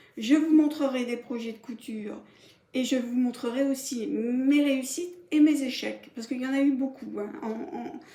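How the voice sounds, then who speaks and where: Amid noticeable background noise and audible room echo, a woman speaks at a fairly slow pace in a high voice with fairly even intonation and big swings in loudness. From Paris, France. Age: 60s. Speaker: sewing vlogger. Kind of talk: casual vlog introduction. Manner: hesitant, many fillers.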